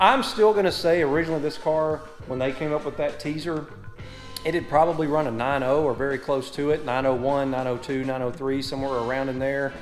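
With faint music in the background, a man talks at a moderate pace with ordinary pitch variation. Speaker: car channel host. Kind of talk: casual vlog chat. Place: garage. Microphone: phone near.

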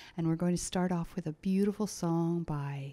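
A woman speaks fairly slowly with a fairly low pitch and ordinary pitch variation. Her tone is dark and mellow, over a quiet background. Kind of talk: stage introduction. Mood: warm, grateful. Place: hall. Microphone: studio mic.

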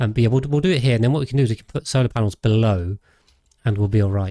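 A man's voice, somewhat breathy with a dark, mellow tone, sits at a medium pitch with ordinary pitch variation. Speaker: gaming streamer. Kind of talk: live gameplay commentary. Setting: home streaming setup. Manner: relaxed, rambling with many fillers.

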